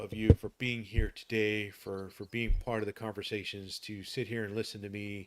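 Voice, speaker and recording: Fairly low in pitch, the man's voice keeps a fairly even intonation while he speaks at a moderate speed. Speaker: gaming streamer. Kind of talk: live stream chat. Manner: halting, repeats words.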